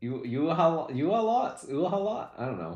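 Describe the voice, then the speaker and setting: A man's voice with vocal fry and very wide pitch swings, over a quiet background. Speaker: streamer. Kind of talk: casual chat.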